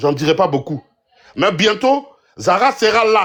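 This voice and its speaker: Speaking at a very slow pace, a man uses a high pitch with very wide pitch swings. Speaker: political commentator. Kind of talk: heated debate. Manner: loud.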